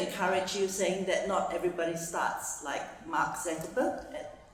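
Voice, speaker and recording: Audible room echo and noticeable background noise fill this recording. A woman talks at a moderate pace. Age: 60s. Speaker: audience member. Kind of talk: audience question. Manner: halting.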